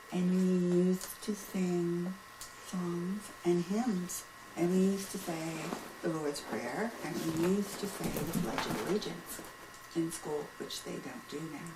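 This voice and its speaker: A woman talks at a fairly slow pace in a fairly low voice with ordinary pitch variation. The room echo is audible, and background noise is noticeable. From Pennsylvania, US. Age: 70s. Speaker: grandmother being interviewed. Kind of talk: casual interview.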